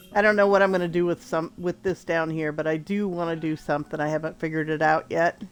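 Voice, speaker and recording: Music plays in the background as a woman with a fairly low pitch talks at a very fast pace. She hardly pauses, and her intonation stays fairly even. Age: 60s. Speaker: gaming streamer. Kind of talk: gameplay walkthrough. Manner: casual, hesitant with fillers.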